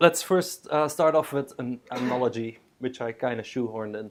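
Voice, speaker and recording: With a Belgian accent, a man talks at a moderate pace using lively intonation. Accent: Belgian accent, noticeable. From Belgium. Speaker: software developer, conference speaker. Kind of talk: tech talk at a user group. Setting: stage with live audience. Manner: joking, casual, with many fillers.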